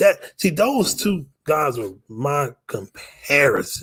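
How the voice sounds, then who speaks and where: A man speaks at a fairly high pitch with a somewhat breathy voice. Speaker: sports podcast host. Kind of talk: casual sports commentary monologue. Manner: fast; halting, repetitive.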